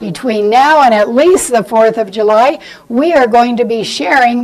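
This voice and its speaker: A fairly high-pitched woman's voice with lively intonation amid noticeable background noise. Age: 80s+. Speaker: lecturer on quilting history. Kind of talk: lecture. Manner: animated.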